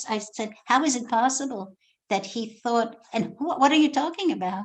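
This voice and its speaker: A Polish accent at a moderate pace, over a quiet background. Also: woman. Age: 70s. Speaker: author. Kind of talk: talk to a school class. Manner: halting.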